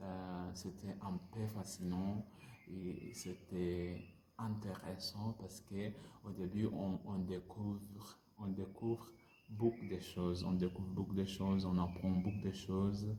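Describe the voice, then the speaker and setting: Using a non-native accent, a man speaks very slowly in a very deep, low, dark and mellow voice that is somewhat breathy and monotone, with flat intonation. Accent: non-native French learner. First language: not French (speaking French). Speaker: French language learner vlogger. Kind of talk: casual language-practice monologue. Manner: halting, many hesitations and repetitions.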